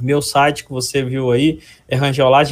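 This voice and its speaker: This man's voice is somewhat breathy, with a fairly high pitch. He speaks with a Minas Gerais accent. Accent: mineiro. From Minas Gerais, Brazil (Ipatinga region). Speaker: structural engineer and lecturer. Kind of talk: interview.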